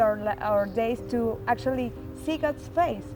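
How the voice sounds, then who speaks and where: A woman speaks with a Spanish accent at a fairly slow pace. Music plays in the background. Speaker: pilgrimage center staff. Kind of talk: devotional reflection. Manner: halting.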